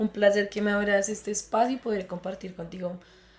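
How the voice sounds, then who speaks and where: A woman talks with a Bogotá accent. Her pace is fairly quick. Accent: Bogotá Colombian Spanish. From Colombia, Bogotá. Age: 20s. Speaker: psychologist. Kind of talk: interview testimony.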